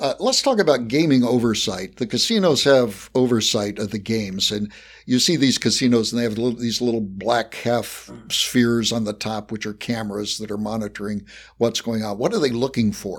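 A plain, everyday voice moves at a moderate pace with ordinary pitch variation in a very clean recording with a silent background. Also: man, medium pitch for a man. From West Virginia, US. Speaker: podcast host and professor. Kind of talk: interview conversation.

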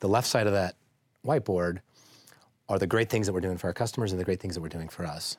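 In a very clean recording with a silent background and a dry, close sound with no echo, a speaker with an American accent goes at a very fast pace with ordinary pitch variation and long, frequent pauses. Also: man, very deep, low pitch for a man. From Idaho, US (Boise). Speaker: business executive. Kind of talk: interview. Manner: hesitant, with many fillers.

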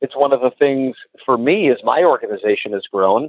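Speaking in a normal speaking voice, a man talks at a moderate pace, medium in pitch with ordinary pitch variation. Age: 30s. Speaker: cold calling coach. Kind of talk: interview.

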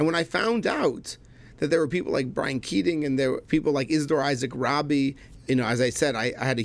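A man's medium-pitched voice with vocal fry, ordinary pitch variation and a fairly quick pace. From Canada, Montreal. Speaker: chemistry professor and rabbi. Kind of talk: casual chat. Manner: animated.

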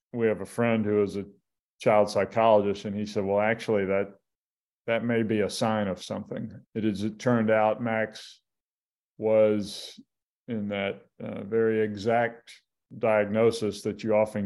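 This man has an American accent and a fairly low pitch. He speaks in a flat monotone at a moderate pace. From US South, Mobile, Alabama. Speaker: sports journalist. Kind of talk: interview about grief and family.

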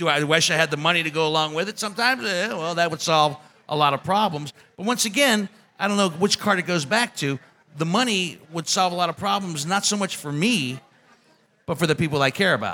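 A man talks at a fairly quick pace in a fairly high pitch, his tone bright and sharp and his intonation lively.

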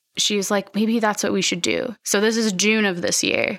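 Her tone bright and sharp, a woman with an American accent speaks with ordinary pitch variation. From Philadelphia. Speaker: artist and slow fashion shop maker. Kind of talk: casual interview. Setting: in a boutique shop.

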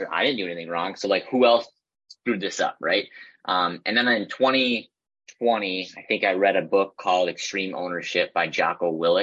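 A man speaks at a fairly low pitch with an American accent. His tone is bright and sharp. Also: ordinary pitch variation, moderate pace. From Minnesota. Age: 20s. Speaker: real estate agent. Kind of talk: casual interview.

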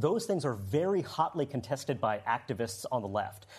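Pitch swings very widely in this voice. There is also a somewhat breathy quality. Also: man. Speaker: political analyst. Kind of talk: panel discussion. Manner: measured, analytical.

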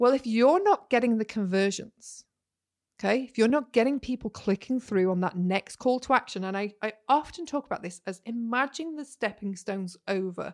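On a very clean recording with a silent background and a dry, close sound with no echo, a woman with a Yorkshire accent speaks in an animated tone at a fairly high pitch with lively intonation. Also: moderate pace. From Yorkshire, northern England. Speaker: podcast host, business marketing coach. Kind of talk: solo podcast monologue, casual teaching.

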